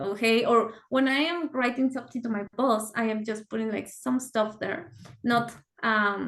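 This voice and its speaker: With a Spanish accent, a woman speaks at a fairly slow pace and a fairly high pitch, using ordinary pitch variation. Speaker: software engineer. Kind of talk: casual chat.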